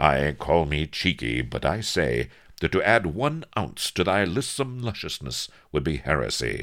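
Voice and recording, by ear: A man uses a put-on character voice at an extremely low pitch, with big pitch swings and a fairly bright tone. He goes at a fairly slow pace in a very clean recording with a silent background.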